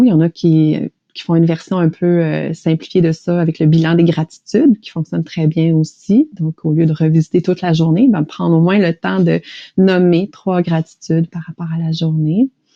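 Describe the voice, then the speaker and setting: A woman with a Quebec accent speaks at a fairly low pitch. Her pace is moderate and her intonation fairly even. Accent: Québécois French. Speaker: stress management coach and author. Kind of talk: interview conversation.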